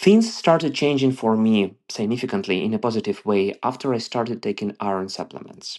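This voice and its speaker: In a quiet background, a man with an Eastern European accent speaks at a medium pitch. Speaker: listener sending a voice question. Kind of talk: recorded voice message.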